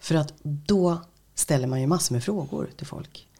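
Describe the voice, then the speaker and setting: Speaking at a fairly slow pace, a woman is heard. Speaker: radio host and voice-over artist. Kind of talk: interview.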